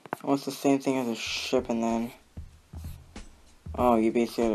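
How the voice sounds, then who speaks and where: Music plays in the background while a man speaks. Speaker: gamer, level reviewer. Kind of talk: gameplay commentary.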